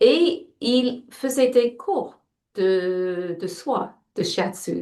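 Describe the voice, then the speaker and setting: There's an English accent in this woman's fairly high voice. Her pitch swings very widely. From England. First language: English (speaking French). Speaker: shiatsu practitioner and teacher. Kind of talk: interview. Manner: halting, frequent self-repetitions.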